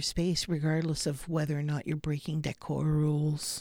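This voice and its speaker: The recording is very clean with a silent background. A woman with a very deep, low pitch and a dark, mellow tone speaks at a moderate pace. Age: 50s. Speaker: tarot reader. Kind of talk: casual chat. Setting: studio.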